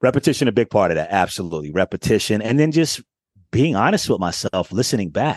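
A man in an American accent at a very fast pace, medium in pitch with very wide pitch swings and an animated tone, in a dry, close sound with no echo and a quiet background. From Daytona Beach, Florida, US South. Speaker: voice actor and media host. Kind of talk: casual chat.

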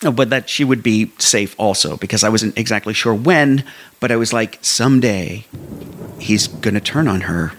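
A plain, everyday voice from a man with an American accent, medium pitch, ordinary pitch variation and a moderate pace. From eastern Pennsylvania. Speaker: storyteller. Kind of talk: personal storytelling.

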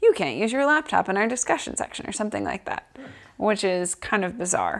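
A woman with an American accent talks at a fairly quick pace and a medium pitch. Her intonation is lively, and her voice has vocal fry. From Boston, US. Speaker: assistant professor. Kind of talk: casual interview.

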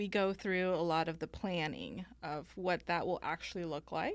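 A woman's fairly low voice carries vocal fry. She speaks at a fairly slow pace. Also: very clean recording, silent background. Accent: American. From Mexico (Guanajuato), then Northern California. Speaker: estate planning lawyer. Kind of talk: interview.

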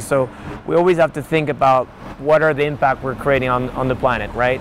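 Noticeable background noise sits under a man's voice. He speaks at a fairly quick pace, fairly high in pitch, with fairly even intonation. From Persian-Swiss background. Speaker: crypto company founder. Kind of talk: interview. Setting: outdoors, walking.

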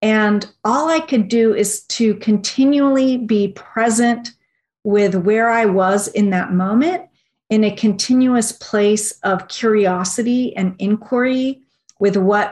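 A woman speaks at a very slow pace in a somewhat breathy voice. Her pitch is fairly high with ordinary variation. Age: 40s. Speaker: research director and naturopathic physician. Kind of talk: interview.

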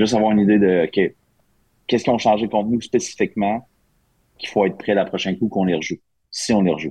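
The voice has a dark, mellow tone and fairly even intonation, moving at a very fast pace broken by long, frequent pauses. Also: man, fairly low pitch for a man. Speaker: hockey assistant coach. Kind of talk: casual chat.

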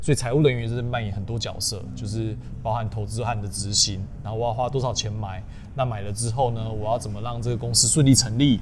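Speaking at a very fast pace, a man keeps a medium pitch and fairly even intonation amid noticeable background noise and audible room echo. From southern Taiwan, Tainan. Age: 30s. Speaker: finance manager, YouTuber. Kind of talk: interview. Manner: casual, code-switching with English terms.

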